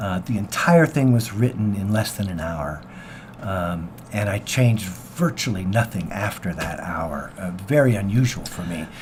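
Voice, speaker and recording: Over noticeable background noise, a man with an American accent speaks at a moderate pace with a fairly low pitch and lively intonation. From US Pacific Northwest, Seattle. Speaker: singer-songwriter. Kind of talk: radio interview. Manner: halting.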